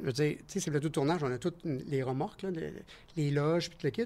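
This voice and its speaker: This man has a Quebec accent and a fairly high pitch, with ordinary pitch variation at a moderate pace. The recording is very clean against a silent background. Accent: Québécois French. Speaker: stunt performer. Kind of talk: casual chat. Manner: animated.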